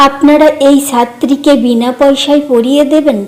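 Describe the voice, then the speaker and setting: A woman puts on a character voice at a high pitch. She talks at a moderate pace with monotone, flat intonation. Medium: read story. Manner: gentle, caring.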